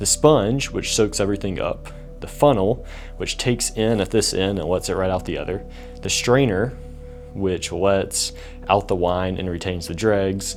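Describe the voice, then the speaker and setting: Music plays behind a man with an American accent. He speaks at a fairly slow pace. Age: 20s. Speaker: videographer and filmmaker. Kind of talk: casual talk to camera.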